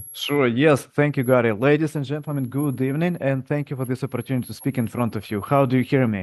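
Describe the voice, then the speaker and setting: A man talks at a very fast pace with fairly even intonation over a quiet background. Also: medium pitch for a man. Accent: non-native. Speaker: physics professor. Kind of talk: presentation at public meeting. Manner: halting with fillers.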